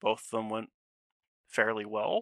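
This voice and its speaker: A soft-spoken man with a bright, sharp tone is heard in a very clean recording with a silent background and a dry, close sound with no echo. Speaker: esports caster. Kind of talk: casual chat. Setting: voice call on Discord.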